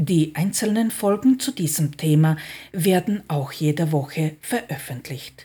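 Speaking very slowly, a woman uses a fairly low pitch with ordinary variation and a dark, mellow, somewhat breathy tone. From outside Austria. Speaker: podcast host and personal development coach. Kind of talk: scripted monologue.

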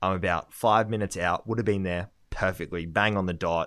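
On a very clean recording with a silent background, a man talks in an Australian accent. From Australia, Gold Coast. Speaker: podcast co-host, property industry intern. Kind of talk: casual chat.

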